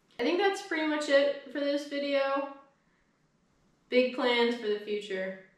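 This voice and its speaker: A woman's high-pitched voice, lively in intonation, at a fairly slow pace with long, frequent pauses and audible room echo. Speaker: YouTuber. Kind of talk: casual update vlog.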